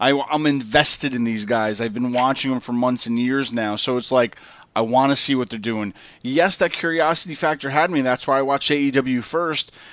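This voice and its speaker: Here is a man with an ordinary speaking voice. His pitch is medium. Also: ordinary pitch variation, fairly quick pace. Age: 30s. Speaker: wrestling podcast host. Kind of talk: casual chat.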